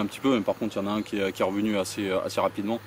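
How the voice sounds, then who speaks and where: A man's fairly low voice in a monotone, flat delivery over noticeable background noise. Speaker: carp angler vlogger. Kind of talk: casual outdoor vlog commentary. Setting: outdoors by a lake. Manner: halting, many fillers and repetitions.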